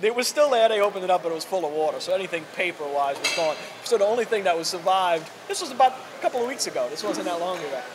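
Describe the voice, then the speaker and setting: With noticeable background noise behind him, a man speaks at a very fast pace in a high pitch, his intonation lively. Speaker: podcast host. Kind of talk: casual conversation.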